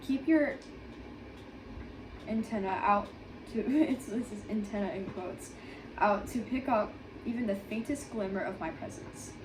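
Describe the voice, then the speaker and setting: A woman speaks in a fairly high voice over noticeable background noise. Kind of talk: devotional read aloud. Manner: stuttering.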